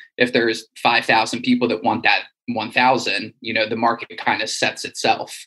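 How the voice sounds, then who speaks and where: A man speaks at a medium pitch with a bright, sharp tone. His intonation is flat and monotone, with hardly any pauses. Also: moderate pace. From US East Coast, Wilmington, Delaware. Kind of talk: casual interview.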